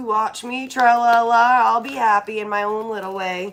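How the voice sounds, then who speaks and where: With a normal speaking voice, a woman talks at a fairly high pitch with ordinary pitch variation. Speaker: tarot reader. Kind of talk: tarot reading. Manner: casual.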